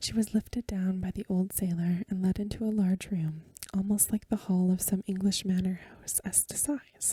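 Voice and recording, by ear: Fairly even intonation in a natural voice reading aloud.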